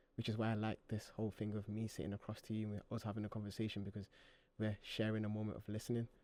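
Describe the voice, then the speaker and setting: Very fast and monotone, with flat intonation, a man talks in a fairly low pitch and a dark, mellow tone. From Manchester, England (Moss Side). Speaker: guest, creative project maker. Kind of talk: casual interview chat.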